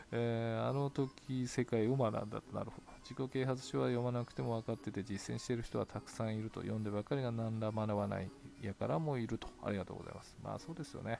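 A man's dark, mellow voice at medium pitch, delivered at a very fast pace. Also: ordinary pitch variation. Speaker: solo podcaster reading blog comments. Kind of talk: casual solo talk, reading and answering comments. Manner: frequent laughter.

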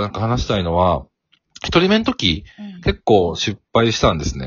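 With vocal fry, a man talks at a moderate pace. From Kansai, Kobe. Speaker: corporate sales worker and working father. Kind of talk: casual interview.

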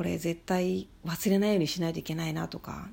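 Speaking at a moderate pace, a woman has a fairly low pitch and a dark, mellow tone. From Shikoku, Japan. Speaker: podcaster. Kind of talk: solo monologue.

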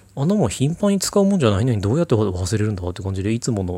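Against a silent background in a very clean recording, a man with a dark, mellow tone talks at a very fast pace. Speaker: solo podcaster with depression. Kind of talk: casual monologue answering listener mail. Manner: hesitant, many fillers.

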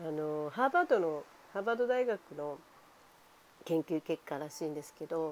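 Speaking at a moderate pace, a woman with a fairly low pitch uses lively intonation, big swings in loudness and long, frequent pauses. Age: 50s. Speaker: home care nurse. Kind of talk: casual monologue. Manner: animated.

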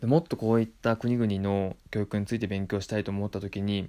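On a very clean recording with a silent background, a man speaks in a calm tone at a fairly low pitch. His voice is dark and mellow, with ordinary pitch variation. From Japan, Tottori Prefecture. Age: 30s. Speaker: podcast host. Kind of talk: solo monologue.

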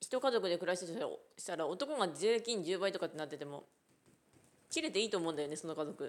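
Talking very fast, a woman keeps her intonation lively at a medium pitch. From Japan, Ishikawa. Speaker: podcaster. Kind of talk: casual chat. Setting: outdoors at a rural unmanned train station.

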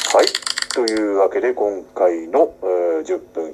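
A man speaks over noticeable background noise. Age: 40s. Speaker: actor hosting a solo talk podcast. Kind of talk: casual solo talk. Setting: home room used as makeshift studio. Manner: many fillers and hesitations; polite, slightly formal phrasing.

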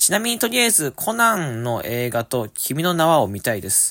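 An upbeat man with a fairly high pitch is heard on a very clean recording with a silent background and a dry, close sound with no echo. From Japan, Fukuoka. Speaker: podcast host. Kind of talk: casual solo talk reading listener mail. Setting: alone in a room at family home.

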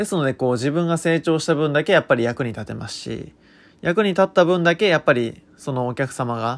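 A man with an ordinary speaking voice in a very clean recording with a silent background. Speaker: consultant and podcaster. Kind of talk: unscripted solo monologue. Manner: frequent filler words.

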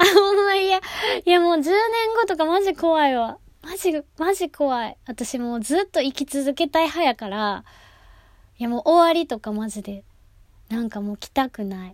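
A woman with a Kansai accent talks in an animated tone at a moderate pace, her high pitch swinging very widely and her loudness rising and falling sharply. The sound is dry and close, with no echo. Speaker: actress and gravure model hosting a solo talk podcast. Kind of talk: solo casual monologue.

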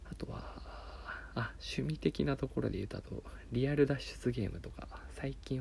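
A man speaks at a moderate pace. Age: 30s. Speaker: podcaster. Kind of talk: solo monologue. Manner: halting.

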